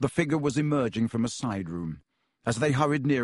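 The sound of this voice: Over a quiet background, the speaker uses an unforced reading voice with lively intonation.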